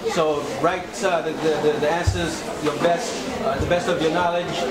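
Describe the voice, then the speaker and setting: A man with an American accent talks at a moderate pace. Loud background noise is present. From Sierra Leone (Freetown). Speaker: nonprofit founder and video blogger. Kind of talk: vlog voiceover commentary. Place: classroom. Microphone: camera far.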